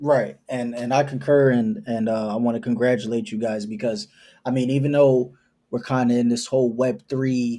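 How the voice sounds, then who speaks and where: This man's dark, mellow tone sits at a medium pitch, with ordinary pitch variation and a moderate pace. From US Northeast, New York City. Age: 20s. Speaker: entrepreneur, company founder. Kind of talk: podcast interview.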